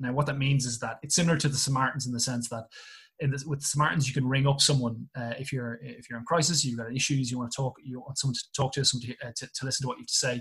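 This man talks at a very fast pace in an Irish accent. His intonation is monotone and flat. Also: medium pitch for a man. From Ireland. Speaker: English teacher and rugby coach. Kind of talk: casual chat. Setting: video call.

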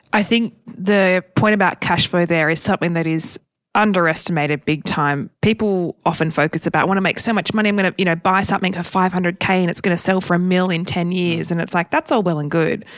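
Speaking at a very fast pace with hardly any pauses, a woman uses an Australian accent, a fairly low pitch and fairly even intonation. The sound is dry and close with no echo, over a quiet background. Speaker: property podcast co-host. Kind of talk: casual Q&A chat. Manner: forceful, passionate.

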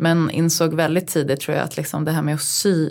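Monotone, flat intonation with vocal fry at a moderate pace. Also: woman. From Uppsala, Sweden. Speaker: podcast co-host, design writer. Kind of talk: casual chat.

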